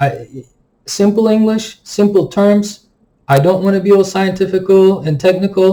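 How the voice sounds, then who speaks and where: A man with a non-native accent speaks at a moderate pace in a high voice with a dark, mellow tone. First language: not English. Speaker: stock market YouTuber. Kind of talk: market analysis commentary. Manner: casual, filler-heavy (um, like).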